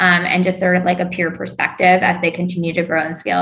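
A woman speaks very fast at a fairly low pitch with fairly even intonation. Background noise is noticeable. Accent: American. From US South, North Carolina (Raleigh-Durham). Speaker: venture capital investor. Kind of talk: interview.

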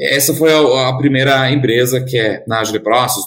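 A man of medium pitch sounds somewhat breathy. He keeps a moderate pace and fairly even intonation. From Germany. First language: German (speaking Portuguese). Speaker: tech company founder and CEO. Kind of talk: interview.

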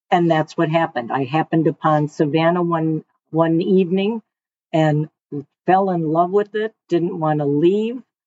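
The speaker has a Detroit accent and ordinary pitch variation. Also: woman, fairly low pitch for a woman, moderate pace. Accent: Inland North US (Detroit). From Michigan (Detroit area). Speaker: retiree, customer. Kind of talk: casual interview.

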